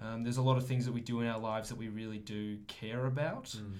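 Audible room echo surrounds a man speaking with an Australian accent and fairly even intonation. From Australia, Melbourne. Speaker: teaching student. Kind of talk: casual chat.

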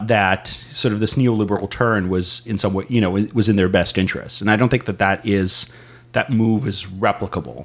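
A man with an American accent speaks in an ordinary speaking voice at a fairly low pitch. His pace is fairly quick and his intonation fairly even. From San Diego, California. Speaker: podcast co-host. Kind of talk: casual political discussion.

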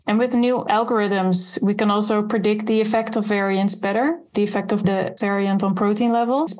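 A woman speaks in a plain, everyday voice at a moderate pace and medium pitch, with fairly even intonation. Her loudness stays very even, and she barely pauses. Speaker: clinical geneticist researcher. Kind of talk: expert interview.

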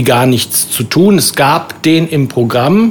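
A man talks while noticeable background noise is heard behind him. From Rhein-Sieg-Kreis, Germany. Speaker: cabaret artist. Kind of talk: casual chat. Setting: pub.

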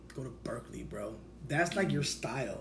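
Speaking at a fairly quick pace, a man with an American accent and a fairly high pitch is heard over audible room echo. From Sacramento, California. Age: 30s. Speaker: podcast host. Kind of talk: casual chat.

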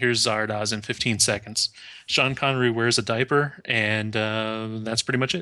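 The man's tone comes across bright and sharp. He talks with an American accent. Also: medium pitch for a man, fairly even intonation, moderate pace. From United States. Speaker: podcast co-host. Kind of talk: casual chat.

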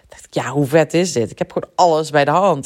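A woman's voice with vocal fry at a moderate pace. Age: 30s. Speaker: podcast host and business coach. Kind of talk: solo podcast monologue. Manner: animated.

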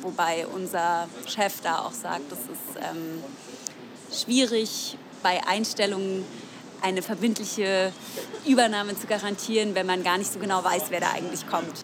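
Amid noticeable background noise, a woman speaks at a medium pitch and a fairly slow pace with ordinary pitch variation and long, frequent pauses. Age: 20s. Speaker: tailor and union youth representative. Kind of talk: interview. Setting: café.

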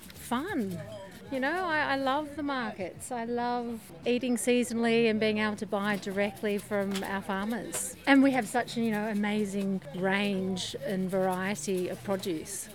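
A woman with an Australian accent talks at a fairly slow pace and fairly high pitch, with ordinary pitch variation. There is noticeable background noise. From Sydney, Australia. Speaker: farmers market worker. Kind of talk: interview.

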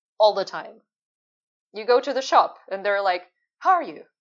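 This woman speaks in a Finnish accent at a fairly high pitch. Her voice makes very wide pitch swings. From Finland. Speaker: UX and service designer. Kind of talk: casual interview.

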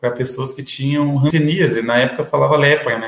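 A somewhat breathy man's voice at medium pitch and moderate pace. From Curitiba metro area, Paraná, Brazil. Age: 30s. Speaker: city councillor and lawyer. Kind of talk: interview.

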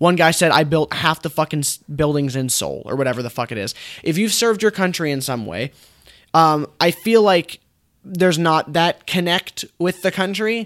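A plain, everyday voice from a man, fairly high in pitch with lively intonation and an American accent. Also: moderate pace, very clean recording, silent background. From United States. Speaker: movie podcast co-host. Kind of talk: casual chat.

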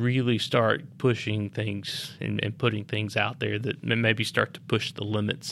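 The speaker has a Tennessee accent and fairly even intonation. The pace is fairly slow, with hardly any pauses. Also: man. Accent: US Southern (Tennessee). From Lynchburg, Tennessee. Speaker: master distiller. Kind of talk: casual interview. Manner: laid back, low-key.

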